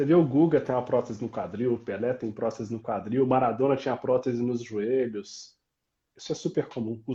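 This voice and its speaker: This man's voice is medium in pitch, somewhat breathy and dark and mellow in tone, with ordinary pitch variation. He moves at a fairly quick pace over a quiet background. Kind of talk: casual, conversational.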